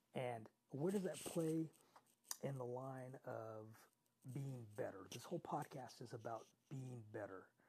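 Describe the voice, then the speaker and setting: Somewhat breathy with a dark, mellow tone, a man speaks at medium pitch and a fairly slow pace, with ordinary pitch variation and long, frequent pauses. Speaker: podcast host. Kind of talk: solo motivational podcast monologue. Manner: conversational, motivating.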